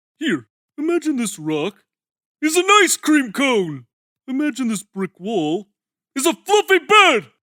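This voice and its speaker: Doing a cartoonish character voice, a man speaks in a raised, projected voice at an extremely high pitch with very wide pitch swings, a fairly slow pace and long, frequent pauses. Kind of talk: cartoon fan dub. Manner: loud, pushy.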